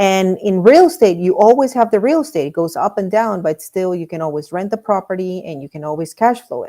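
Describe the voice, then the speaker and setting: A woman at medium pitch speaks at a fairly quick pace with lively intonation, hardly any pauses and big swings in loudness, on a very clean recording with a silent background. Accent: Spanish. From Miami, Florida. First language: Spanish. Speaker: real estate investor. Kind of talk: interview. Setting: live stream. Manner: halting, repeats words.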